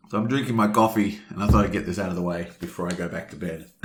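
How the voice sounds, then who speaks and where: In an Australian accent, a man talks with a fairly low pitch and ordinary pitch variation on a very clean recording with a silent background. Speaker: board game let's play host. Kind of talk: gameplay commentary.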